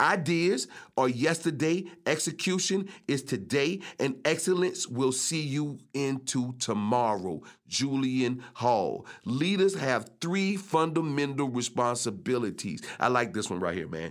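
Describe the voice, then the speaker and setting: Pitched fairly high, a man speaks at a fairly slow pace with very wide pitch swings. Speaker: podcast host. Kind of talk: solo podcast episode, casual talk. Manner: rhythmic, flow-like delivery, casual.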